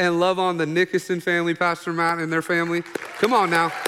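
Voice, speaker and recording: An animated, very fast man's voice in an American accent, pitched high, over noticeable background noise. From Oklahoma. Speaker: pastor. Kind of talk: sermon. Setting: church.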